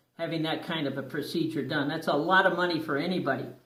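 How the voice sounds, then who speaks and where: The room echo is audible. A man is speaking. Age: 60s. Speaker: dental patient sharing experience. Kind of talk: personal testimony. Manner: hesitant, many fillers.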